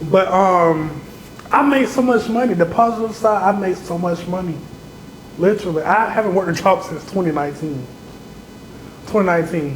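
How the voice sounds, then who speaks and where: Amid noticeable background noise and audible room echo, a man with a high pitch and ordinary pitch variation speaks at a fairly quick pace with long, frequent pauses. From Augusta, Georgia, US South. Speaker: social media comedian and content creator. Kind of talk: casual interview chat. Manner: animated, acts out quoted voices.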